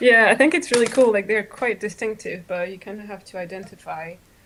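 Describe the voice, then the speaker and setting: This woman talks with a French accent and fairly even intonation. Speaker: knitter, podcasting guest. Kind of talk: casual chat.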